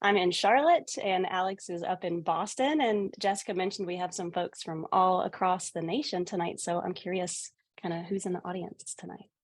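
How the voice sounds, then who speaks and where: The speech comes in a Southern US accent at a moderate pace. There are hardly any pauses. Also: woman, medium pitch for a woman, ordinary pitch variation. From US South. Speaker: accessibility specialist with clinical background. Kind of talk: webinar presentation.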